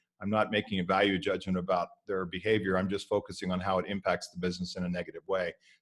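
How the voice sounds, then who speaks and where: Talking at a very fast pace, a man uses a fairly low pitch and an American accent. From US East Coast. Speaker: security trainer. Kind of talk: workshop presentation.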